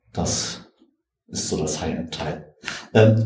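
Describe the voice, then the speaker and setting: A man's voice with audible room echo. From Germany, Göttingen. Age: 50s. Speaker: computer scientist and espresso enthusiast. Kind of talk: casual chat. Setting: studio.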